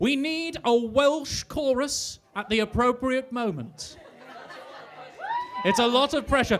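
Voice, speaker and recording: Crowd noise fills the background as a man with an extremely high pitch speaks at a very slow pace, broken by long, frequent pauses. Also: ordinary pitch variation. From Australia (Townsville, Queensland). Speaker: cabaret show host. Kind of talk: live show hosting.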